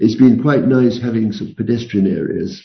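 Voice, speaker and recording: A man's voice with fairly even intonation in audible room echo. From London. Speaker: retired professor. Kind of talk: interview. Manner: halting.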